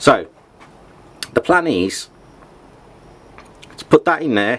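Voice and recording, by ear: A man's slow speech at a medium pitch, with big pitch swings and a fairly bright tone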